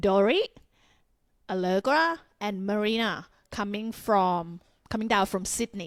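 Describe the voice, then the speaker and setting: In a very clean recording with a silent background and a dry, close sound with no echo, a woman with a Thai accent speaks at a fairly slow pace and medium pitch, with ordinary pitch variation and long, frequent pauses. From Thailand, Bangkok. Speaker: Muay Thai fighter and gym co-owner. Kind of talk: casual podcast interview.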